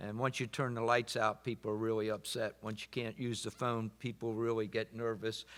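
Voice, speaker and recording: Monotone, flat delivery from a man at medium pitch, on a very clean recording with a silent background. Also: moderate pace. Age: 70s. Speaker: panel moderator. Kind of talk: panel discussion. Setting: conference with audience.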